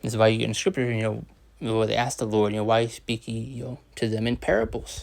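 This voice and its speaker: Speaking at a very fast pace, a man uses medium pitch and fairly even intonation. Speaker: religious teacher. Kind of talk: scripture lesson. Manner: hesitant, many fillers.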